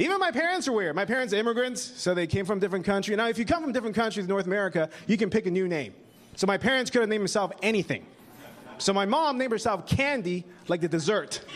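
Very fast, lively male speech at a high pitch in a Canadian accent, with noticeable background noise. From Taiwan, raised in Vancouver, Canada. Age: young. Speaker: stand-up comedian. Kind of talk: stand-up.

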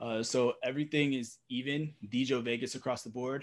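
A man with an American accent, a medium pitch and monotone, flat intonation. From Brooklyn, New York. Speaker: esports content creator and analyst. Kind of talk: casual interview chat.

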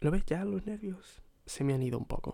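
Fairly high in pitch, this man's voice has a dark, mellow tone. He speaks at a moderate pace. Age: 20s. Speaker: podcaster. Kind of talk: solo personal monologue. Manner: hesitant, repetitive.

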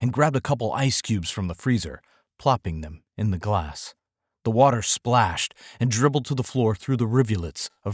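Against a quiet background, the speaker is reading aloud in a natural voice.

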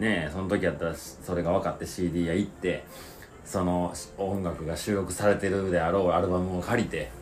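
Speaking with a Kansai accent, a man with a very deep, low pitch keeps his intonation fairly even amid audible room echo. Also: moderate pace. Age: 30s. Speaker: podcast co-host. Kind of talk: casual chat.

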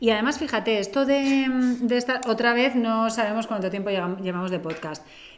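Speaking at a moderate pace, a woman with a fairly high pitch and ordinary pitch variation is heard over noticeable background noise and audible room echo. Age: 40s. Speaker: podcast co-host. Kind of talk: casual chat.

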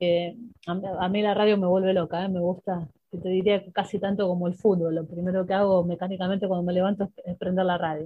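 At a fairly quick pace, a woman talks in a medium pitch. Her intonation is monotone and flat. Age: 50s. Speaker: football coach and sports journalist. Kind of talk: interview. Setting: radio studio.

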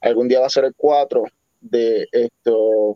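A man is speaking. His pace is very slow. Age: 40s. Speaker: podcast host. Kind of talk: casual chat. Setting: live stream.

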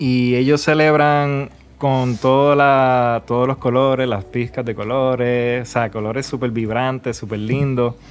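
The speech moves at a fairly slow pace with hardly any pauses. The intonation is monotone and flat. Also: man, medium pitch for a man. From Puerto Rico. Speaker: filmmaker and traveler. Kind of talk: casual chat.

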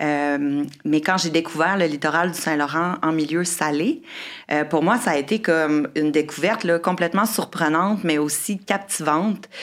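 Using a plain, everyday voice, a woman speaks at a moderate pace with a fairly low pitch, ordinary pitch variation and very even loudness. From Quebec City. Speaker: marine biologist and environmental entrepreneur. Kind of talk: casual chat.

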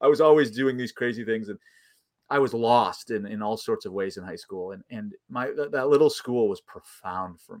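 With a plain, everyday voice, a man of medium pitch speaks at a moderate pace in an American accent, showing ordinary pitch variation and big swings in loudness. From US Midwest, Chicago suburbs. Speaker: theology professor. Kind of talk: casual interview.

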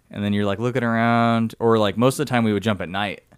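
A man with a normal speaking voice talks at a fairly quick pace. His pitch is medium and his intonation fairly even. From Southern California (San Diego). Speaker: army soldier and CrossFit athlete. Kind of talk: casual chat.

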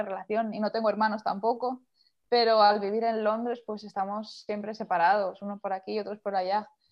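A woman speaks in a plain, everyday voice, her pitch fairly high and her pace fairly quick. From Spain, Castellón area, small town. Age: young. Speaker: singer-songwriter. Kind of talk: interview.

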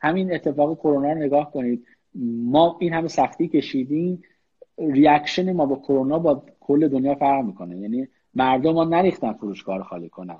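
A man's ordinary speaking voice, fairly high in pitch, at a moderate pace with lively intonation. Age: 30s. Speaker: business executive. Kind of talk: online interview. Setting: Instagram live.

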